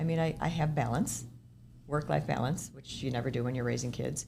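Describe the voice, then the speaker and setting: Her pace is fairly quick. Audible room echo can be heard as this woman talks. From Minnesota, US. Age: 60s. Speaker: senior housing developer. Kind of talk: podcast interview. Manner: conversational, with false starts and repetitions.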